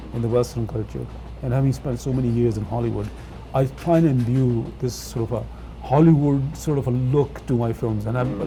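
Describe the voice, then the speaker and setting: With music in the background, a man with a Punjabi accent talks at a moderate pace. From England. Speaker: film director. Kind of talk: interview. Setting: studio. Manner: halting, many fillers.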